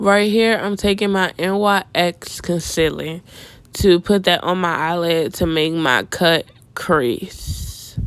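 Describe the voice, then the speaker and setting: Relaxed in tone, a woman with a fairly low pitch talks at a very slow pace with ordinary pitch variation. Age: 20s. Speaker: beauty vlogger. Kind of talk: makeup tutorial. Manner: casual, relaxed.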